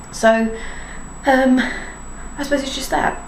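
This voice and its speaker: The speech moves at a fairly quick pace amid noticeable background noise and audible room echo. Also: woman. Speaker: parenting blogger. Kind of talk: casual vlog monologue. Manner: fast; rambling, chatty.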